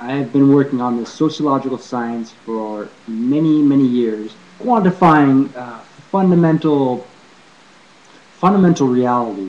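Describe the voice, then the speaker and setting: A man speaks at a moderate pace with an American accent, his pitch fairly high and its variation ordinary. Music plays in the background. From California, USA. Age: 40s. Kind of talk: casual talk to camera. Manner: hesitant, rambling.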